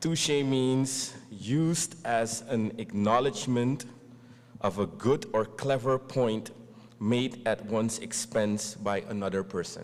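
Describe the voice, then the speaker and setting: In a Dutch accent, a man talks at a very slow pace with a medium pitch and ordinary pitch variation. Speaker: event host. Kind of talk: formal speech.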